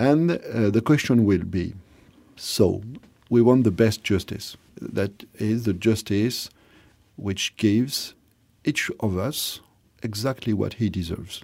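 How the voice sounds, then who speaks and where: Long, frequent pauses break up a man's medium-pitched speech with ordinary pitch variation. The recording is very clean, with a silent background. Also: fairly slow pace. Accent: French. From France. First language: French. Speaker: philosopher. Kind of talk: interview. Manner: halting.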